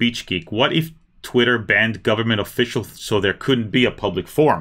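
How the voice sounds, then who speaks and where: A man talks fairly quickly at a medium pitch, varying it in an ordinary way. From Israel, moved to South Florida as small child. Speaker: lawyer YouTuber. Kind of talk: livestream Q&A. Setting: livestream. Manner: conversational, with frequent hesitations.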